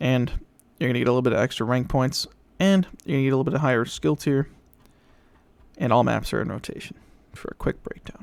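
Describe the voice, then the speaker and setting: A man talks at a very fast pace in a put-on character voice. It is raspy, at a medium pitch. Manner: informative game-update rundown.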